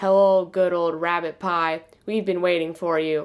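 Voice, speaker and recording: A put-on character voice, gruff and middle-pitched, runs at a moderate pace in a monotone, flat intonation. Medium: read story.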